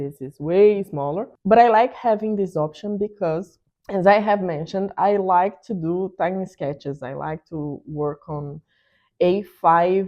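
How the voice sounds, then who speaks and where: A woman talks with a strong Brazilian accent. Her pitch is fairly low, with ordinary pitch variation. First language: Portuguese. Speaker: art YouTuber. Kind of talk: product review tutorial.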